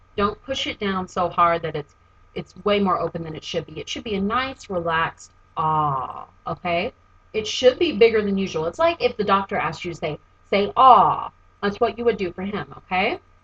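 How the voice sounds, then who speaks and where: A woman of medium pitch speaks at a moderate pace with lively intonation and big swings in loudness. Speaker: voice teacher. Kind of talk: tutorial. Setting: home recording, seated.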